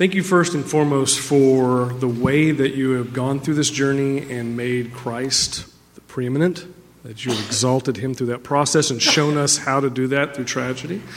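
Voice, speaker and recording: A man's medium-pitched voice carries fairly even intonation while noticeable background noise sits behind it. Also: moderate pace. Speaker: church elder. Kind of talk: interview. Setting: church stage.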